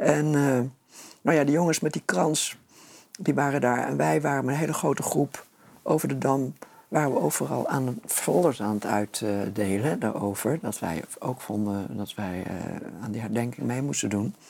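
With noticeable background noise behind him, a man speaks at a medium pitch and a moderate pace with lively intonation. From Netherlands, Nunspeet (Gelderland). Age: 70s. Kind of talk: interview.

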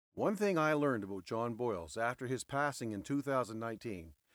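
A man with an ordinary speaking voice talks with lively intonation. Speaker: podcast host and former trucking office worker. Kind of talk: eulogy, heartfelt tribute to a late friend. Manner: warm, sincere and reflective, tender.

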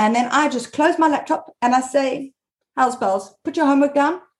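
A woman's animated, high-pitched voice at a moderate pace. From South Africa. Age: 40s. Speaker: mom blogger. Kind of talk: interview.

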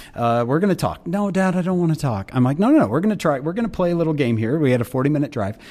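A man with a fairly high-pitched, dark, mellow voice talks at a very fast pace with hardly any pauses and very wide pitch swings. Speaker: speaker and author. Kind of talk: casual interview. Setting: remote recording.

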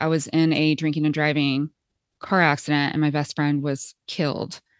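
A woman speaks with a Midwestern US accent. The sound is dry and close with no echo, over a quiet background. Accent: General American, Midwestern. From Kansas. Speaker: podcast host and transformation coach, former dentist. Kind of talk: casual conversation.

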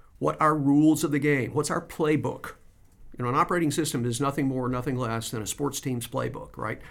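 The speaker has an American accent and vocal fry. The pace is fairly quick and the intonation fairly even. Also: man. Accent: Southern US accent that shifts when at home. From US South. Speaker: business operating system coach. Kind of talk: interview. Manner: halting, many repetitions.

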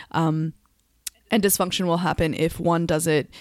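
Speaking at a moderate pace, a woman uses a fairly low pitch with ordinary pitch variation. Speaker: yoga teacher and podcast host. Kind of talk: casual chat. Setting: remote recording, different locations. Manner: enthusiastic.

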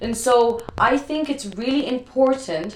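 At a very slow pace, a woman speaks with ordinary pitch variation against noticeable background noise. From Brazil. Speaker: professional dancer. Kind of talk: casual chat. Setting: at home. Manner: loud.

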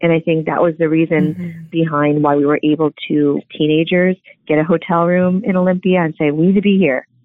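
A woman with an unremarkable speaking voice and an American accent talks at a fairly low pitch with fairly even intonation. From Southern California. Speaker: former punk band member. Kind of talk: interview testimony.

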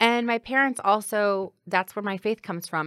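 A woman with a plain, everyday voice and an American accent, at a moderate pace with ordinary pitch variation, in a very clean recording with a silent background. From Granite City, Illinois. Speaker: city clerk. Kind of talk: interview.

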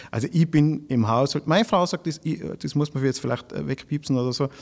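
At a moderate pace, an unremarkable speaking voice comes through on a very clean recording with a silent background. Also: man. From Austria, Tyrol (village of Grins). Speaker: cabaret artist and comedian. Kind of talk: casual interview.

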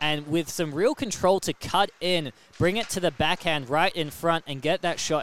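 The sound is dry and close, with no echo. It is an unremarkable speaking voice with ordinary pitch variation. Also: man. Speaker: radio commentator. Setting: arena broadcast booth. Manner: excitable, rapid-fire and breathless, reacting in real time to near misses; jokey, bantering with co-commentator.

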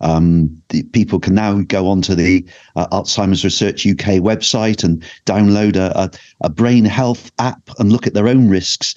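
At a fairly slow pace, a man with a fairly low pitch, fairly even intonation and very even loudness speaks against a quiet background in an unremarkable speaking voice. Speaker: GP and mental health lead. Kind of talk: casual panel chat.

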